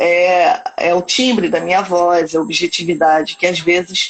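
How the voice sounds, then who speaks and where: Over music in the background, a woman talks at a fairly slow pace in a fairly low pitch with ordinary pitch variation. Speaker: psychologist. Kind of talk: live stream conversation. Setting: Instagram live video. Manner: direct, sounds stern.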